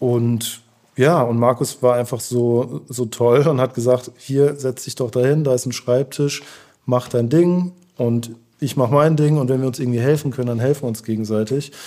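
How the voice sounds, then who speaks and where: With an ordinary speaking voice, a man talks at a moderate pace in a medium pitch and fairly even intonation. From Germany, Heidelberg. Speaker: artist manager. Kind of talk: interview.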